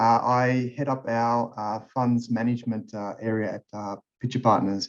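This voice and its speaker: A man speaks with an Australian accent at medium pitch. His intonation is monotone and flat, at a moderate pace. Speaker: tax partner. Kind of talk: webinar presentation.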